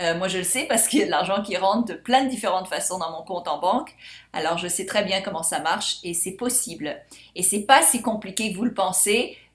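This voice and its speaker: Her pitch sits in the medium range for a woman, with ordinary variation. She speaks at a fairly quick pace. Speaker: life coach and course seller. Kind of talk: sales pitch. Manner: animated.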